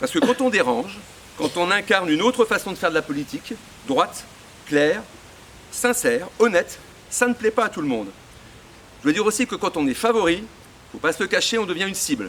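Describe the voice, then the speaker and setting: The man talks at a fairly quick pace with a high pitch. Long pauses come often. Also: lively intonation. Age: 60s. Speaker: local association president supporting a candidate. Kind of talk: political campaign speech. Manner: hesitant, many fillers and repetitions.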